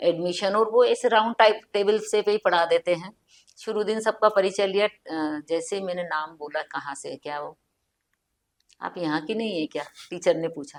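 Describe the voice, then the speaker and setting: In an Indori accent, the voice shows ordinary pitch variation and big swings in loudness, with a dry, close sound and no echo. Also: woman, medium pitch for a woman. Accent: Indori Hindi. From central India, Indore. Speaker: writer. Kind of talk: casual chat.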